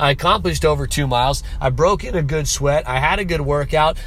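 A man talks at a fairly quick pace. There is audible room echo and noticeable background noise. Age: 30s. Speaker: podcast host, online business owner. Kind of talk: motivational monologue. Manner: casual, conversational.

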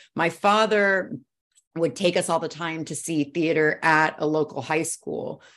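An ordinary speaking voice, a woman's, comes at a fairly low pitch and a fairly slow pace with ordinary pitch variation against a quiet background. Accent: American. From US Northeast, Brooklyn, New York. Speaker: fashion tech founder, former model. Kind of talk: interview.

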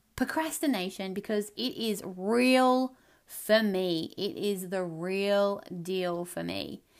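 In a very clean recording with a silent background, a woman talks in an animated tone at medium pitch with ordinary pitch variation. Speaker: podcast host, life coach. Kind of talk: solo monologue podcast. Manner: loud.

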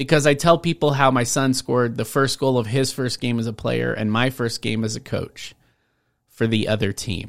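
On a very clean recording with a silent background, an ordinary speaking voice goes at a moderate pace with ordinary pitch variation. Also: man, medium pitch for a man. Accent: American. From Washington State, US. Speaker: podcast host and speaking coach. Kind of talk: solo podcast monologue.

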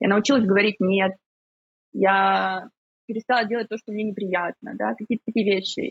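Speaking at a moderate pace and medium pitch, a woman keeps fairly even intonation and takes long, frequent pauses. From Ukraine. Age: 30s. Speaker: psychotherapist. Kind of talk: casual chat.

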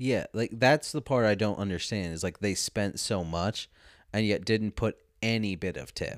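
A man with a plain, everyday voice speaks at a moderate pace, his pitch fairly low with ordinary variation. The sound is dry and close with no echo. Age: 20s. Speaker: podcast host. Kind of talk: casual chat. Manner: casual, talkative, swears often.

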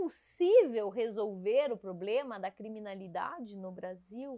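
Very slowly, a woman speaks with very wide pitch swings. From southern Brazil, Caçador (Santa Catarina). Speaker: police chief. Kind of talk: casual interview.

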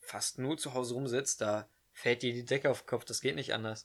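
Fairly even intonation marks this man's speech. His pitch sits in the medium range. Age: young. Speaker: podcast co-host, carpentry apprentice. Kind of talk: casual chat. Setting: bedroom at home.

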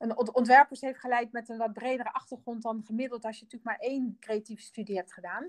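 A woman with a fairly high voice talks at a very fast pace. She barely pauses, and her intonation stays fairly even. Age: 50s. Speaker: designer and company co-founder. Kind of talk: interview. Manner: halting, many fillers.

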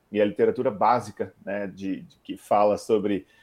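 A man's voice has a fairly low pitch and a dark, mellow tone. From Curitiba, southern Brazil. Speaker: startup founder and CEO. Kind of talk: interview.

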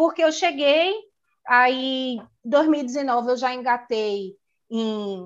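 Over a quiet background, a woman talks in a high voice with ordinary pitch variation. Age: 30s. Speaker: hair salon owner. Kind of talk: casual chat. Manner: talkative.

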